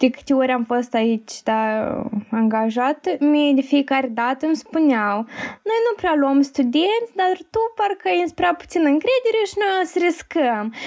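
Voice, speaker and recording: A woman's high voice with very wide pitch swings at a fairly slow pace. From Moldova, Chișinău. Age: 20s. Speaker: fashion marketing student. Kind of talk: casual interview.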